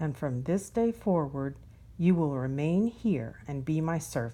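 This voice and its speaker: A put-on character voice growls in a stern tone at a low-to-middle pitch. The pace is fairly slow. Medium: read story. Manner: snarling, stern.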